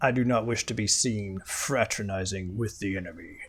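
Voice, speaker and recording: A man's put-on character voice, booming and raspy, fairly low in pitch, at a moderate pace. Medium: actual play. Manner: imperious, formal.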